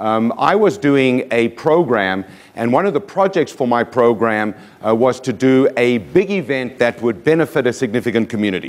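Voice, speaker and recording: With a South African accent, a man speaks at a moderate pace in a medium pitch and an energetic tone. His intonation is lively and his loudness very even. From South Africa, Johannesburg. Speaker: motivational speaker. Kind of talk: keynote speech. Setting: stage with audience.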